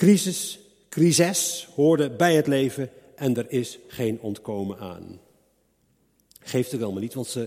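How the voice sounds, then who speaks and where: A man with a dark, mellow tone talks at a fairly slow pace, his intonation lively. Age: 60s. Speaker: preacher. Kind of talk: sermon.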